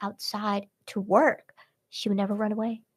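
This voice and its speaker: Somewhat breathy, a woman speaks with a fairly high pitch. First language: Vietnamese. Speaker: podcast host. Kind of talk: casual chat. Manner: filler-heavy, many likes and restarts.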